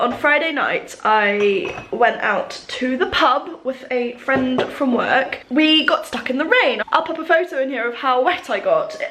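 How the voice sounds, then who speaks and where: A woman's intonation is lively, with noticeable background noise behind her. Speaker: knitter and crafter. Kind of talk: casual talk to camera.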